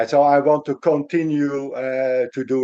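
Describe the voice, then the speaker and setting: The voice belongs to a man with a fairly high pitch. His tone is dark and mellow. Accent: Dutch. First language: Dutch. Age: 60s. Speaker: lawyer. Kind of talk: interview. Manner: halting.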